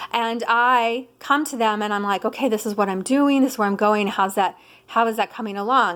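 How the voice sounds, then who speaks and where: A woman speaks in an animated tone at a fairly quick pace, on a very clean recording with a silent background. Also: fairly high pitch for a woman. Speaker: spiritual teacher. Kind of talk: casual monologue vlog. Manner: fast.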